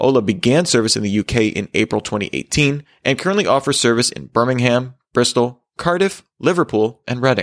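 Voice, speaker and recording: A man with an unremarkable speaking voice talks at a medium pitch and a fairly quick pace, with hardly any pauses. His intonation is lively against a quiet background. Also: dry, close sound with no echo. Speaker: tech news host. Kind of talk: news reading, scripted headlines bulletin. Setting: studio. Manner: formal, steady and brisk; even, neutral delivery.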